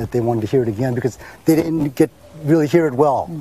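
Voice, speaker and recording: This man's tone is dark and mellow, a little breathy. He speaks very fast. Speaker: retired army officer. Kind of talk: panel presentation.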